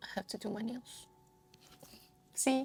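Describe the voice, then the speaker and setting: Soft-spoken and relaxed, a woman speaks with a dark, mellow tone in a Brazilian Portuguese accent. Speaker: crafting vlogger. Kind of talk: casual monologue while crafting. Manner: relaxed, meandering.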